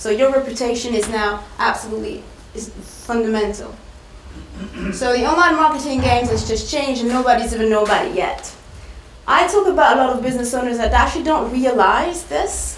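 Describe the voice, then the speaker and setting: A woman with a French accent talks at a fairly quick pace, her pitch high and her intonation lively. Audible room echo and noticeable background noise are present. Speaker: marketing speaker. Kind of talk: presentation.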